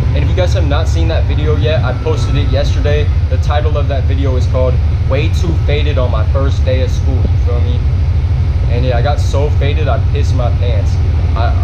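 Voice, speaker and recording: Ordinary pitch variation at a fairly quick pace, set against loud background noise. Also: man. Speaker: vlogger. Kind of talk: casual vlog chat. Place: train. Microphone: phone near.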